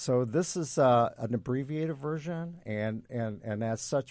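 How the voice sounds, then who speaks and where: Against a quiet background, a plain, everyday voice speaks at a fairly slow pace with lively intonation. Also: man. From Indiana, Fort Wayne. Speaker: musical writer and producer. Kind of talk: casual chat. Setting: studio.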